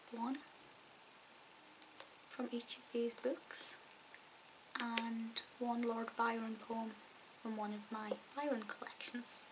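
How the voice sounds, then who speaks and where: A soft-spoken woman whispers with a Scottish accent at a very slow pace. Noticeable background noise sits behind her. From Scotland. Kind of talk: ASMR talk to camera. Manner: soft-spoken, whispered.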